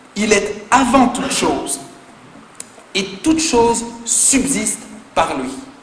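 A man's extremely high-pitched voice with lively intonation at a very slow pace, long and frequent pauses, audible room echo and noticeable background noise. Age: 20s. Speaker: pastor. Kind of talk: sermon. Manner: animated.

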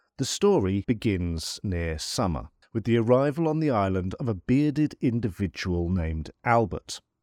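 A man's dramatic, theatrical delivery in a British accent, full of very wide pitch swings, with a dry, close sound with no echo and a quiet background. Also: fairly low pitch for a man. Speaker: podcast host and folklore author. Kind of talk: history documentary narration, scripted-style storytelling of island legend. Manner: measured, formal, dramatic storyteller with wry humour; deliberate, theatrical pacing with ornate vocabulary.

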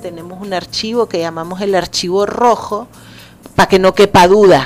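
Over noticeable background noise, a woman speaks at a medium pitch and a moderate pace with fairly even intonation. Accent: Nicaraguan. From Nicaragua (raised from age 3, Salvadoran-born). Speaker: poet and cultural manager. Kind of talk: interview. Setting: radio studio.

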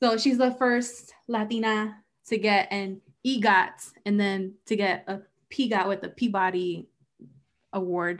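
A woman with an unremarkable speaking voice talks at a moderate pace and medium pitch, her intonation fairly even but her loudness swinging widely. The recording is very clean, with a silent background. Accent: American. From US East Coast, half Mexican heritage. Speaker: podcast co-host. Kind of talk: casual chat.

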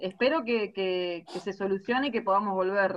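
Speaking at medium pitch, a woman keeps a fairly slow pace. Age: 30s. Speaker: women's football captain. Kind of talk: interview. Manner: halting, repeats words.

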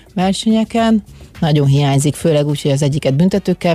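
The speech runs at a very fast pace. The sound is dry and close, with no echo. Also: woman. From Hungary, Szolnok. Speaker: former water polo player. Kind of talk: interview. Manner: halting.

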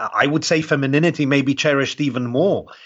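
A man with a British accent and a fairly high pitch, at a moderate pace, with vocal fry. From UK. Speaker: world traveler and sociologist. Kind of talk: casual interview chat.

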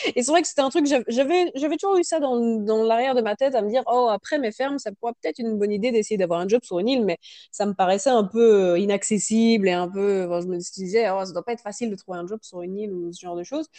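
A woman with a fairly high pitch and a dark, mellow tone talks at a very fast pace with hardly any pauses, her lively intonation and big swings in loudness captured in a dry, close sound with no echo. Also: quiet background. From France. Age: 30s. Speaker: working holiday traveler. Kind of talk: interview testimony.

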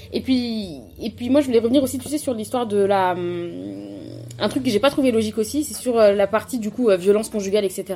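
Against noticeable background noise, a woman with a fairly high pitch and ordinary pitch variation talks at a fairly quick pace, broken by long, frequent pauses. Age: 20s. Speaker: pharmaceutical engineer, book discussion guest. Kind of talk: casual book discussion.

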